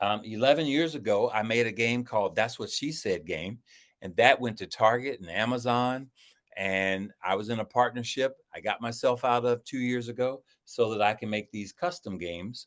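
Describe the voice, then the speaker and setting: Against a quiet background, a man in a normal speaking voice talks at a moderate pace and medium pitch, with ordinary pitch variation. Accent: American. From Ohio, US Midwest. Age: 60s. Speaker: card game designer. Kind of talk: interview.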